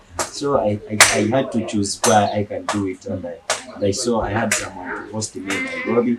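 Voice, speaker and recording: A man talks fairly quickly amid noticeable background noise. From Western Uganda, near Congo border. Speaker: street musician. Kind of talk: interview. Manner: halting.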